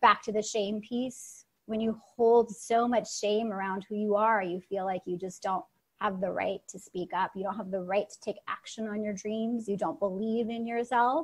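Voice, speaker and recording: At a moderate pace, a woman speaks in a fairly high, somewhat breathy voice with fairly even intonation and big swings in loudness. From Russia. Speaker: storytelling coach and performer. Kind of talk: interview answer.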